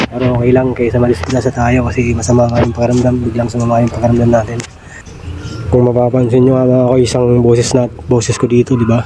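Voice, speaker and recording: Over noticeable background noise, a man talks very fast in a flat monotone, his loudness very even. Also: medium pitch for a man. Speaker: delivery rider vlogger. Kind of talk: vlog monologue. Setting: at home.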